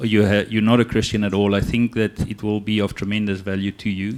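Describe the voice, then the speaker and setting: The recording is very clean with a silent background. A man talks at a fairly quick pace with a fairly low pitch. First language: not English. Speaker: church leader. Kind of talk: Q&A in church. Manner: hesitant, many ums.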